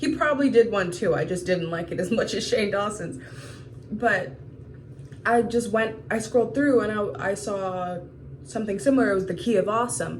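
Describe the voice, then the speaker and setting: With an American accent, a woman speaks at a moderate pace and medium pitch. Her pitch swings very widely, and the room echo is audible. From US South, Georgia. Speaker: vlogger. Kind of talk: video diary.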